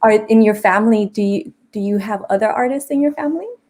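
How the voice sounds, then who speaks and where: Speaking at a fairly quick pace, a woman with an American accent has a dark, mellow tone, a medium pitch and ordinary pitch variation. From Los Angeles, South Central. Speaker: talk show host. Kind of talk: interview. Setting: live stream.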